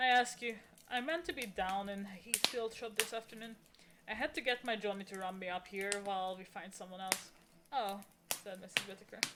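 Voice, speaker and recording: Noticeable background noise sits behind this clip. A woman talks at a medium pitch with lively intonation. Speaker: streamer reading books aloud. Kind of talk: casual chat; reading aloud. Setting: live stream. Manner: loud.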